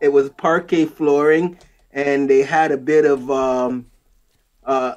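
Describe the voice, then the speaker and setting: With a slight Jamaican accent, the speaker talks at a fairly slow pace. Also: man. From Jamaica, moved to Canada as a child. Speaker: wood flooring professional. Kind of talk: interview.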